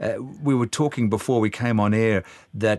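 A man with an Australian accent talks at a medium pitch and a fairly quick pace. His pitch variation is ordinary, and the background is quiet. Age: 60s. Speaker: podcast host. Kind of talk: casual chat.

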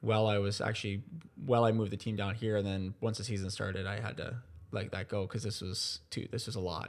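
Speaking fairly quickly with an Ontario accent, a man keeps a fairly low pitch and a monotone, flat intonation. The background is silent in this very clean recording. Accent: Canadian (Ontario). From Ontario, Canada. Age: 20s. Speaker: sports team owner. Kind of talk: interview conversation.

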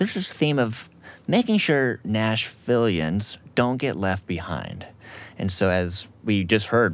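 A man speaks in an unremarkable speaking voice, keeping a moderate pace. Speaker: podcast host. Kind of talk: podcast host interview.

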